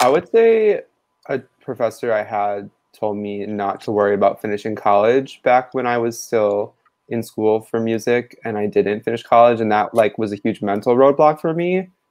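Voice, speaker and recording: A man speaks at a moderate pace and with ordinary pitch variation, the background quiet. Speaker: band founder and musician. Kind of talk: casual chat. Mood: relaxed, reflective. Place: home room. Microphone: video call.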